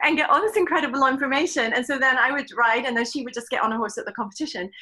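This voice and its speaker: A woman with an English accent talks in a raised, projected voice at a very fast pace. Her pitch is high and her tone bright and sharp. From England. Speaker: riding clinician. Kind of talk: interview.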